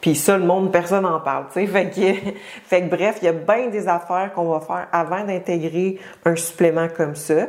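With a Quebec accent, a woman speaks at a moderate pace in a fairly low voice with fairly even intonation, over noticeable background noise. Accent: Québécois French. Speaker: fitness coach and podcast host. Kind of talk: solo podcast monologue. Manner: casual, many filler hesitations.

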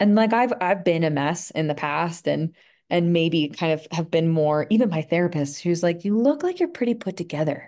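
Against a quiet background, a woman with a fairly low pitch and a dark, mellow tone talks at a moderate pace with ordinary pitch variation. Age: 30s. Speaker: energy healing practitioner. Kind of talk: casual interview.

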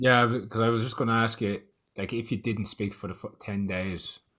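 A man with an Irish accent speaks at a moderate pace and with fairly even intonation on a very clean recording with a silent background. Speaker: podcast host.

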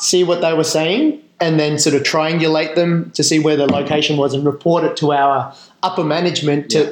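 A man speaks in an Australian accent at a fairly high pitch. His intonation is monotone and flat. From Western Australia and Northern Territory mining towns. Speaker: Special Forces veteran, charity founder. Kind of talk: interview.

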